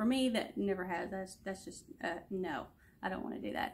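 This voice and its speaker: A woman speaks in a somewhat breathy voice. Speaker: student giving a class presentation. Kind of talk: class presentation video. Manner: many ums and pauses.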